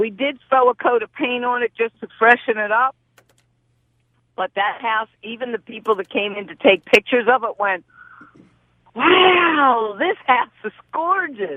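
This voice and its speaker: Her intonation is lively and her pitch fairly high for a woman. She speaks fairly slowly, with big swings in loudness. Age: 60s. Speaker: real estate investor, student of the host. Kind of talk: casual chat. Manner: animated.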